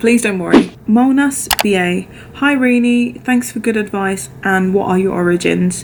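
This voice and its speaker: A woman with a British accent talks at a moderate pace and medium pitch. Her intonation is lively, with noticeable background noise. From London, England. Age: 30s. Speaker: flight attendant vlogger. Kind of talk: Q&A vlog.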